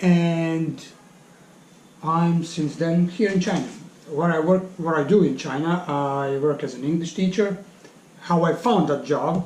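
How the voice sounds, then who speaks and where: A man with a Serbian accent speaks at a high pitch and fairly slow pace, with ordinary pitch variation, long, frequent pauses and audible room echo. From Bosnia (Bosnian Serb). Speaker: English teacher. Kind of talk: interview. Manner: halting.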